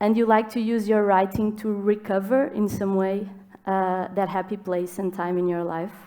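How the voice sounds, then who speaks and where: With a Portuguese accent and a dark, mellow tone, the speaker talks at a moderate pace with fairly even intonation. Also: woman. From Portugal. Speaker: writer, moderator. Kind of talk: panel conversation. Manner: halting, many fillers.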